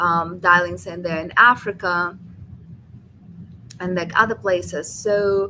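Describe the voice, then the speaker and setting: Against noticeable background noise, a woman speaks with a non-native accent and fairly even intonation. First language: not English. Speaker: venture capital investor. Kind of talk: webinar talk.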